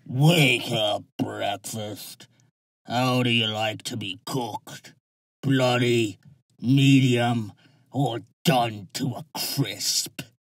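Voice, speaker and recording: Using a put-on character voice of medium pitch, a man speaks at a very slow pace. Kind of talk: audiobook drama acting. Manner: menacing, greedy, gleefully cruel.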